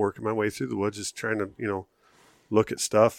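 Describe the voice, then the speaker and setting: In a normal speaking voice, a man with an American accent talks at a fairly low pitch with fairly even intonation. The recording is very clean and dry, a close sound with no echo and a silent background. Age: 40s. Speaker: hunter. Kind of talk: casual chat.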